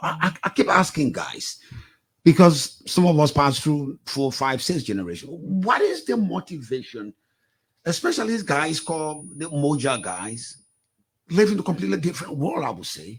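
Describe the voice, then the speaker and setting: A man's voice swings very widely in pitch. It sits fairly high and sounds somewhat breathy. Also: moderate pace. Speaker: talk show host. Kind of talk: talk show interview.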